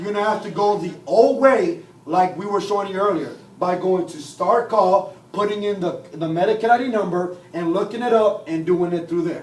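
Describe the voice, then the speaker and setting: Amid noticeable background noise and audible room echo, a man with a high voice speaks with ordinary pitch variation. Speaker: software trainer. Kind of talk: training class. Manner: fast.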